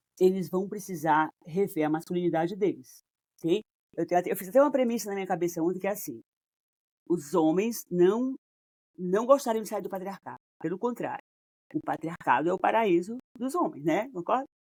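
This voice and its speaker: With lively intonation and a medium pitch, a woman speaks at a fairly quick pace yet leaves long, frequent pauses, the sound dry and close with no echo. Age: 60s. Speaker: couples therapist. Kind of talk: casual interview conversation.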